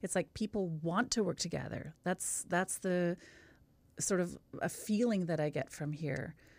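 In a Western Canadian accent, a woman speaks at a fairly low pitch and a fairly slow pace with ordinary pitch variation. The recording is very clean, with a silent background. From Canada, Kamloops BC. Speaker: singing teacher and vocal coach. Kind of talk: casual chat.

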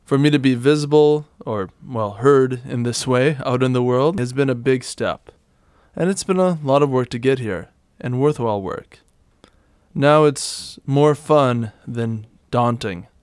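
Here a man talks at a fairly slow pace with a medium pitch and ordinary pitch variation. The recording is very clean, with a silent background. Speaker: podcast host and movement method teacher. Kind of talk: solo podcast monologue with reading aloud.

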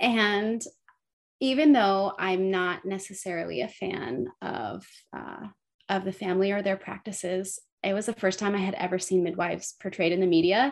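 Speaking with an American accent, a woman of medium pitch moves at a moderate pace with ordinary pitch variation. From California, South Lake Tahoe. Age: 30s. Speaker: midwife. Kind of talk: interview conversation.

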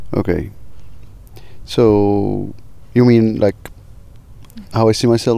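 With an Arabic accent, a man talks very slowly in a flat monotone, leaving long, frequent pauses. His tone is dark and mellow. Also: fairly low pitch for a man. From Egypt. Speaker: filmmaker and tour guide. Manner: halting, searching for words.

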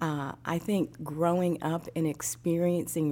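This woman has a very deep, low pitch and a dark, mellow tone, with an American accent. She talks at a very slow pace. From US Midwest. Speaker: human resources professional. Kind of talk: podcast interview.

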